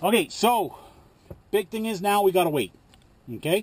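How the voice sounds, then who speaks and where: A man with lively intonation at a moderate pace, dry sound with no echo, and light background noise. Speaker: truck driver vlogger. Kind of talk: casual cooking vlog chat. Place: car. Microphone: phone near.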